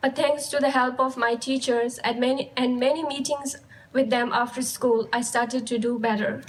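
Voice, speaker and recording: In a Ladakhi accent, a woman with a high-pitched voice speaks at a moderate pace in a flat, monotone way. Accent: Ladakhi Indian English. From Ladakh, India. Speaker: high school graduate. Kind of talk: graduation speech.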